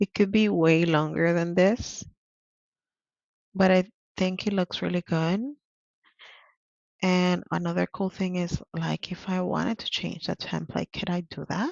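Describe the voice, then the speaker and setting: A woman with a Spanish accent speaks at a fairly slow pace, leaving long, frequent pauses. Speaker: interpreter and vlogger. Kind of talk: tutorial. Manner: casual, hesitant with fillers.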